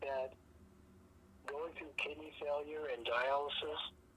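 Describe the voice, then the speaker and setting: The talking is fairly slow, with noticeable background noise behind it. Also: woman. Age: 60s. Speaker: peer mentor, former dialysis patient. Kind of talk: peer support conversation. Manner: halting.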